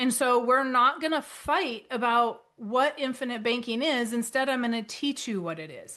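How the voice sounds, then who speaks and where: A bright, sharp voice at a moderate pace with ordinary pitch variation and big swings in loudness. It runs on with hardly any pauses over a quiet background. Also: woman, high pitch for a woman. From North Dakota. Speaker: author and financial educator. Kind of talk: webinar presentation. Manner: animated.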